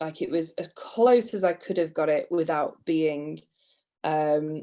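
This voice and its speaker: Heard in a very clean recording with a silent background, the voice has a British accent, a dark, mellow tone, ordinary pitch variation and a fairly slow pace. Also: woman, fairly low pitch for a woman. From England. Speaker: PPC manager. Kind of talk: podcast interview, storytelling.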